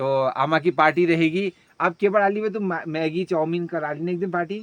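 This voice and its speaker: A man's high-pitched voice at a moderate pace, fairly even in intonation, in a dry, close sound with no echo. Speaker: village vlogger. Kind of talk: casual vlog chat.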